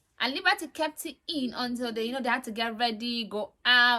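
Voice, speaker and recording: Talking at a fairly quick pace, a woman sounds animated, with a bright, sharp tone and ordinary pitch variation. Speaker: reality TV reviewer. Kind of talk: casual monologue review. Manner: fast.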